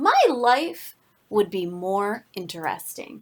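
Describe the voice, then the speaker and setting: A woman puts on a rumbling character voice at a medium pitch, with lively intonation. She speaks at a very slow pace. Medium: read story. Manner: grumbling.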